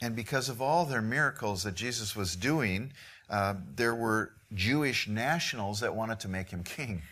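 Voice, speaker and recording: In a room with audible echo, a man talks in a bright, sharp tone with ordinary pitch variation. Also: medium pitch for a man, moderate pace. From Midwest US. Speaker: missionary preacher. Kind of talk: sermon.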